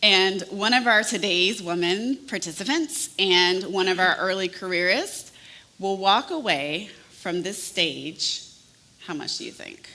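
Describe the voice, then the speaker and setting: With a slight Southern US accent, a woman of medium pitch speaks at a fairly slow pace in an animated tone. Her intonation is lively, her loudness swings widely, and the room echo is audible. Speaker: event co-host. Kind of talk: event hosting on stage.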